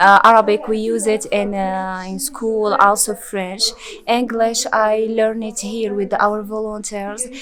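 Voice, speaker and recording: Speaking at a fairly slow pace with a Moroccan accent, a woman uses a fairly high pitch and a flat, monotone intonation. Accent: Moroccan Berber-accented English. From rural Morocco. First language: Berber. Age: 20s. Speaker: former student of an NGO. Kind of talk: interview. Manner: halting, many fillers and repetitions.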